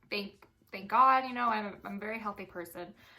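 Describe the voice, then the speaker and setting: With a bright, sharp tone, a woman speaks at a fairly quick pace. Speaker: dental assistant vlogger. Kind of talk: casual vlog talk.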